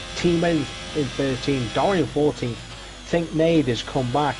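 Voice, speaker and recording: A man with a British accent at a moderate pace, ordinary pitch variation, audible room echo, and noticeable background noise. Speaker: sim racing commentator. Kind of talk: live commentary. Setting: live stream.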